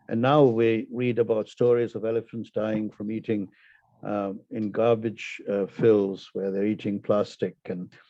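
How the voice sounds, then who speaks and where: A man with a Tamil accent speaks at a fairly slow pace, his fairly low voice monotone and flat. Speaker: poet. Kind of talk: casual chat; poetry reading.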